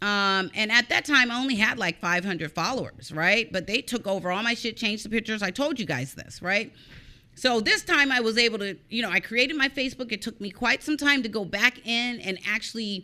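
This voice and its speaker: With a fairly high pitch, lively intonation and a bright, sharp, animated tone, a woman talks at a fairly quick pace. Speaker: online show host on cybercrime. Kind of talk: casual vlog chat, venting. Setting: live stream.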